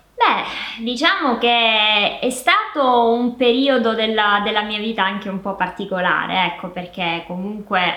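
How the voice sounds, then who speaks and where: Over noticeable background noise, a woman talks at a fairly slow pace with hardly any pauses and ordinary pitch variation. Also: fairly high pitch for a woman. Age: 30s. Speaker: interviewee, host's sister. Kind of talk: casual chat.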